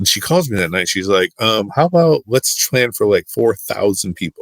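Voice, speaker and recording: With a Midwestern US accent, a man speaks at a moderate pace. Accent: US Midwest. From Michigan. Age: 40s. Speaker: youth and sports minister. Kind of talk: casual interview storytelling. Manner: animated.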